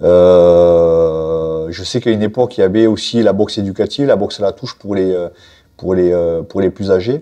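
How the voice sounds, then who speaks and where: Very deep and low, a man's voice has a dark, mellow tone. His pitch variation is ordinary, over a quiet background. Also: moderate pace. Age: 40s. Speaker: professional boxer and coach; coach. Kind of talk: interview. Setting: boxing gym. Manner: halting, many fillers and repetitions. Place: gym. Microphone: lapel.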